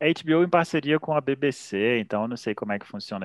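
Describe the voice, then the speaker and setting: Speaking with a Brazilian accent at a moderate pace, a man uses very wide pitch swings, captured in a very clean recording with a silent background and a dry, close sound with no echo. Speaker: podcast host. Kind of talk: casual chat.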